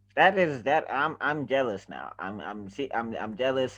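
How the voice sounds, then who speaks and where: In an animated tone, a man talks at a moderate pace with a medium pitch and ordinary pitch variation. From South Africa. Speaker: podcast host. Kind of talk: casual chat.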